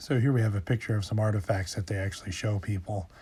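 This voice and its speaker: The recording is very clean, with a silent background. A man speaks in a fairly low pitch, sounding somewhat breathy. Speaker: paranormal storyteller. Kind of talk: casual talk to camera.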